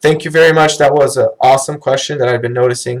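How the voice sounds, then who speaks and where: Here a man speaks in a somewhat breathy voice. His pitch is fairly high. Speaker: company trainer. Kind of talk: live training webinar. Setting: online live stream. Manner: casual, many fillers.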